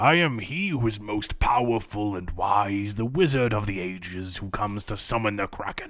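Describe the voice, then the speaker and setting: Moderate pace and fairly low pitch in a man's put-on character voice. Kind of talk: grandiose.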